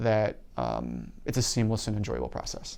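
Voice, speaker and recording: A man with an Upper Midwest accent speaks at a moderate pace. His medium-pitched voice has a dark, mellow tone. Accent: Upper Midwest American. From Wisconsin, La Crosse area. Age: 30s. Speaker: university events staff. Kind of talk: interview. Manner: halting, frequent fillers.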